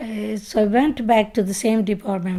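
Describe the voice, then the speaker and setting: With a Pakistani Punjabi accent, a woman speaks at a fairly slow pace in a dark, mellow tone with fairly even intonation. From Punjab, Pakistan. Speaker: retired project manager. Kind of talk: oral history interview answer.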